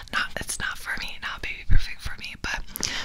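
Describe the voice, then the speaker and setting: A soft-spoken woman whispers at a moderate pace against noticeable background noise. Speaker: ASMR creator. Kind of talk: casual vlog chat, soft-spoken storytelling. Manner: soft close-mic ASMR whisper. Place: home room. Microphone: studio mic.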